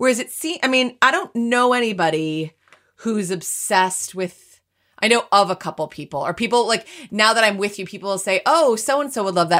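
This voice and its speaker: A woman's lively intonation at a fairly quick pace, a normal speaking voice on a very clean recording with a silent background. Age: 40s. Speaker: podcast co-host. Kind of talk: casual chat. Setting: home recording.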